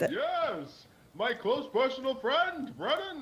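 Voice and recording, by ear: A put-on character voice, pitched high, speaks at a very slow pace.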